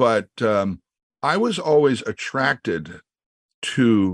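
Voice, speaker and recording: A man with an American accent and very wide pitch swings, in a dry, close sound with no echo. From US Midwest, Creston, Iowa. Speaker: session drummer. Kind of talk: interview.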